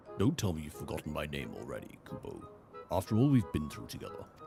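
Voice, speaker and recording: Over clear background music, a man in a put-on character voice with a very deep, low pitch rushes at a very fast pace, with very wide pitch swings and big swings in loudness. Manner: goofy.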